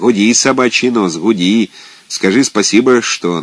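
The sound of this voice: The reading comes in an unforced voice.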